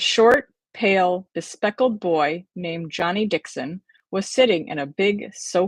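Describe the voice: Over a quiet background comes plain reading aloud whose pitch varies in an ordinary way.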